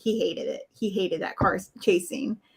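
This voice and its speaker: Her tone is bright and sharp. The woman's voice sits fairly high. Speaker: movie reaction panelist. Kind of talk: casual chat. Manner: loud.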